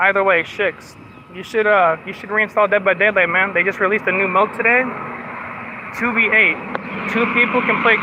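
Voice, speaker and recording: Against noticeable background noise, a man speaks at a moderate pace in a high voice. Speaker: live streamer. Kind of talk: casual live stream chat while walking. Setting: outdoors, walking. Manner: slurred words; talkative, constant chatter.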